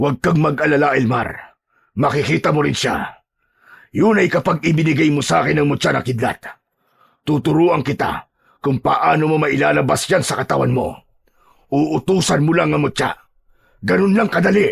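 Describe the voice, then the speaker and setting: A man's raspy put-on character voice, fairly high in pitch with ordinary variation, very even in loudness, at a moderate pace with long, frequent pauses. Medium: audio drama. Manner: mocking, laughing, menacing.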